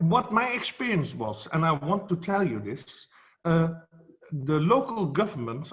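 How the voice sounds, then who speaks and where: With a Dutch accent, a man speaks at a high pitch and a fairly slow pace, his pitch swinging very widely. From Netherlands. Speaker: photography educator. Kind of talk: speech at an online event. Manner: halting, many fillers.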